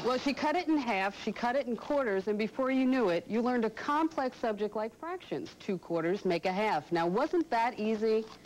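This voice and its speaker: Over noticeable background noise, a woman with a fairly high voice talks at a moderate pace with hardly any pauses, very wide pitch swings and very even loudness. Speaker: computer instructor, radio talk show host. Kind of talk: TV infomercial pitch.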